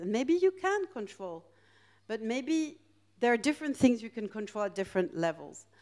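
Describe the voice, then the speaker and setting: Over a quiet background, a woman with a dark, mellow tone speaks at a fairly high pitch with very wide pitch swings. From France and Greece. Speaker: professor of international relations. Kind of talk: lecture. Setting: stage with audience. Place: hall. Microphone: handheld.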